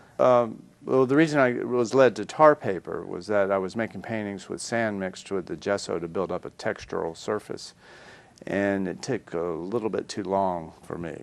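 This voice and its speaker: With a slight Southern accent, a man speaks at a fairly low pitch with lively intonation. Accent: slight southern drawl. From US South, North Carolina and Florida. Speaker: artist. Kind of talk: interview. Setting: studio.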